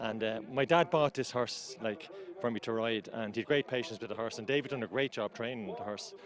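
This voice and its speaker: With an Irish accent, a man talks at a fairly quick pace and a medium pitch. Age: 50s. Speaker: amateur jockey. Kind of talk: post-race interview. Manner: halting, repetitive.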